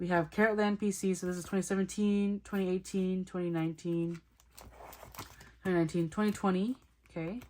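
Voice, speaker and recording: A woman speaks at a medium pitch in a monotone, flat intonation. Her pace is fairly quick, with long, frequent pauses. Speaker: k-pop photocard collector vlogger. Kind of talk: casual collection showcase talk. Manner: fast; chatty, self-correcting.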